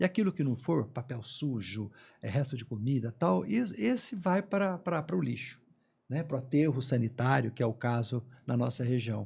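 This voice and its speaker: Against a quiet background, a man speaks at a moderate pace in a somewhat breathy, medium-pitched voice with lively intonation. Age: 60s. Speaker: environmental consultant, former environmental inspector. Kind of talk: panel discussion. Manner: halting, frequent repetitions.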